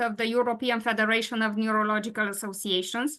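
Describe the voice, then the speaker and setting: High-pitched woman with a Romanian accent. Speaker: patient advocate and webinar moderator. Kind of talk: webinar presentation. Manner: halting, many fillers.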